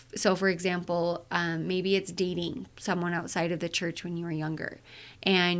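A woman speaks with a Utah accent. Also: very clean recording, silent background. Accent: western US (Utah). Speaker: mental health therapist, podcast host. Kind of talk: solo podcast monologue. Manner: casual, with filler words.

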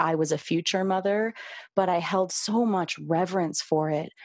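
A woman with a normal speaking voice talks at a medium pitch and a moderate pace, with ordinary pitch variation, in a very clean recording with a silent background. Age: 30s. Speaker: podcast host and birth worker. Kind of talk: interview, casual chat.

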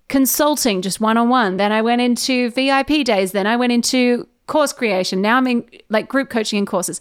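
Fairly high pitch from a woman with ordinary pitch variation, very clean recording and a silent background. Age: 20s. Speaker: podcast host. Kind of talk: interview conversation. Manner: fast; intense.

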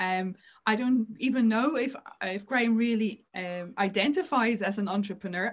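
Somewhat breathy, a woman speaks at a moderate pace with fairly high pitch and ordinary pitch variation. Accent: Irish. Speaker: podcast host and intuition coach. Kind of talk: casual interview conversation.

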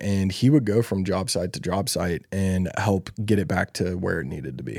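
Here a man speaks with a Southern US accent at a fairly low pitch. His tone is dark and mellow, and the recording is very clean with a silent background. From US South (Louisiana, Alabama, Texas). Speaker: podcast host, online business coach. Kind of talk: casual chat.

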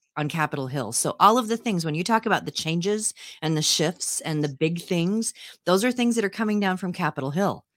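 A woman talks at a fairly quick pace in a fairly low pitch with lively intonation, her dry, close sound free of echo in a very clean recording with a silent background. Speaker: morning show co-host. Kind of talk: casual chat. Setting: home basement live stream. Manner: hesitant, many fillers.

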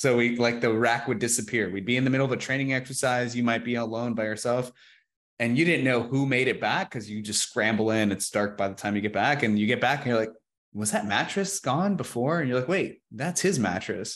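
In a very clean recording with a silent background, a man of medium pitch talks at a fairly quick pace in an unremarkable speaking voice with ordinary pitch variation. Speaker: podcast host, photography coach. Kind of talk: interview.

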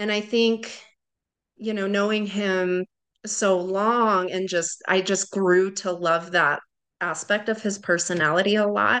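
A woman uses a normal speaking voice at a medium pitch with fairly even intonation. She speaks at a fairly slow pace against a quiet background. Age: 30s. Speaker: widowed mother. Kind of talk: interview.

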